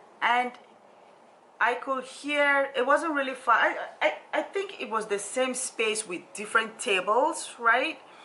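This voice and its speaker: With an African accent, a woman speaks in a raised, projected voice at a fairly slow pace, her intonation lively. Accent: deep African. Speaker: social worker and motivational vlogger. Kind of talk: personal storytelling vlog. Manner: halting, with frequent fillers and repetitions.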